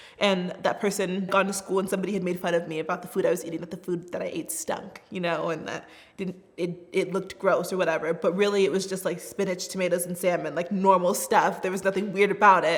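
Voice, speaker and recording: In an American accent, the speaker goes at a very fast pace with hardly any pauses and fairly even intonation. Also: woman, medium pitch for a woman. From US Southwest, Tucson, Arizona. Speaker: refugee resettlement worker. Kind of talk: personal testimony. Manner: casual, conversational.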